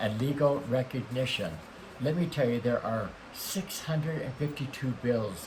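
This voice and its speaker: A man's medium-pitched voice comes through with clear background noise behind it. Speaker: talk show host. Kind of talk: interview host talk.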